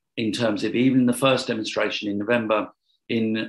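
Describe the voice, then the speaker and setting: Moderate-paced speech from a man, set against a quiet background. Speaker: interview guest. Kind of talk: interview answer. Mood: reflective, earnest. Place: home room. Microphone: video call.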